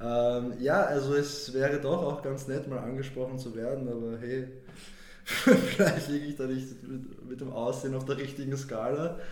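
Monotone, flat intonation at a moderate pace, with noticeable background noise and audible room echo. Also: man, medium pitch for a man. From Vienna, Austria. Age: 20s. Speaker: podcast guest. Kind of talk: casual chat. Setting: studio.

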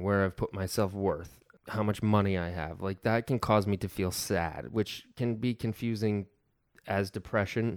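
A man with a normal speaking voice and an American accent, fairly low in pitch with ordinary pitch variation, at a moderate pace, on a very clean recording with a silent background and a dry, close sound with no echo. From upstate New York. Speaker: actor and photographer. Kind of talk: casual chat.

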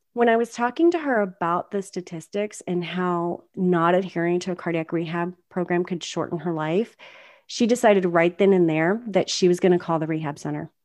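A woman with a normal speaking voice, fairly low in pitch, with an American accent, ordinary pitch variation, a moderate pace, and a quiet background. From US South. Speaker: performance consultant and podcast co-host. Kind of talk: casual chat.

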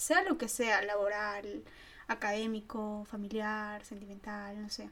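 This is a woman speaking. Her pace is fairly slow. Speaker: podcast co-host, student. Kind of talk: casual chat.

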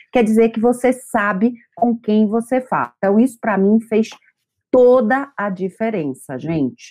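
A woman speaks fairly slowly in a dark, mellow tone, her pitch fairly high with ordinary variation. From Brazil, Bahia. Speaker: psychotherapist. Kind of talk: testimony.

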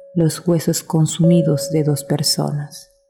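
Noticeable background noise behind a woman's very deep, low voice, very slow in pace and monotone and flat in intonation. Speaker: narrator. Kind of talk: ghost story telling. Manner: hushed, suspenseful, slow and deliberate pacing; tense, dramatic, urgent in the fear moments.

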